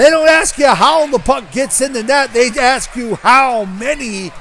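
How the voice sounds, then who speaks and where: The voice shouts in an animated tone at a fairly slow pace, with ordinary pitch variation. Noticeable background noise is present. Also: man. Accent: American. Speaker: hockey play-by-play announcer. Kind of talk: live commentary. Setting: ice rink. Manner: loud.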